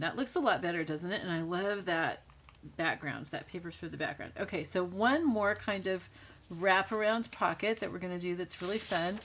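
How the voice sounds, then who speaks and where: At a moderate pace, a woman mumbles in a medium pitch. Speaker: crafting YouTuber. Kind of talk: tutorial. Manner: mumbling; soft-spoken.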